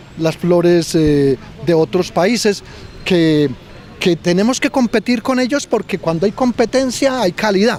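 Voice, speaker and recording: A man's high-pitched, lively voice at a fairly slow pace, very even in loudness, with noticeable background noise. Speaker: local historian. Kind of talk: interview. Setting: outdoors. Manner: halting.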